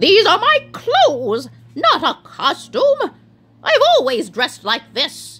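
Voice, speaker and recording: A put-on character voice with very wide pitch swings at a fairly slow pace. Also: woman, extremely high pitch for a woman. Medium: read story. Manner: earnest, straightforward.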